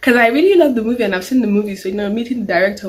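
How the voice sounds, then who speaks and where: A woman with ordinary pitch variation, amid noticeable background noise. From Nigeria. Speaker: YouTuber. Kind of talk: casual Q&A vlog.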